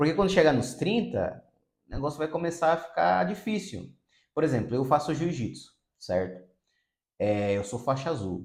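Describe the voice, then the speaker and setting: A man with a fairly high voice talks at a moderate pace, his pitch swinging very widely, with vocal fry and long, frequent pauses. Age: 30s. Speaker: psychotherapist. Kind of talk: video monologue.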